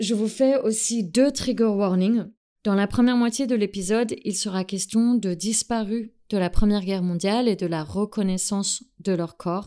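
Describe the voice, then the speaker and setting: The speaker has an English accent and a dark, mellow tone. Pitch varies in an ordinary way at a fairly slow pace. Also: woman. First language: English (speaking French). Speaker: podcast host. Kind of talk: scripted narration.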